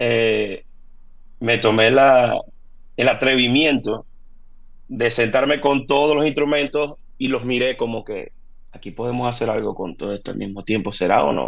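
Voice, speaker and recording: A man with a medium-pitched voice and vocal fry talks at a fairly slow pace, with ordinary pitch variation and long, frequent pauses. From Venezuela, Maracaibo. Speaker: percussionist and percussion teacher. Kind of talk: interview.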